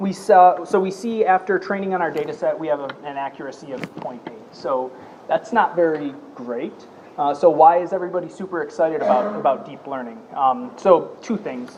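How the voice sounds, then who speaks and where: A man's high-pitched voice with lively intonation and big swings in loudness, amid noticeable background noise and audible room echo. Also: moderate pace. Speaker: data scientist. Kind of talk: tutorial.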